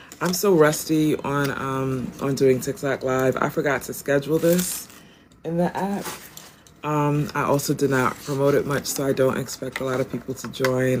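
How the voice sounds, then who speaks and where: Over noticeable background noise, a woman with a very deep, low pitch talks at a moderate pace. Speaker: tarot reader and spiritual wellness practitioner. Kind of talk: live-stream intuitive reading. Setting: live-stream broadcast. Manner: casual with many filler ums.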